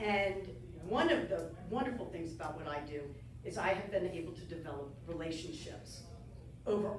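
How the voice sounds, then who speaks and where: A woman at a fairly low pitch and moderate pace, animated in tone with lively intonation and big swings in loudness, amid noticeable background noise and audible room echo. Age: 60s. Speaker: travel broadcaster and speaker. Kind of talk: club talk with Q&A. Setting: club meeting with audience.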